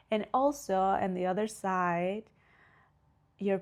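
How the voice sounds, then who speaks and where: In a Spanish accent, a woman is talking. Her recording is very clean, and the background is silent. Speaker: podcast host, spiritual coach. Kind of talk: casual podcast monologue.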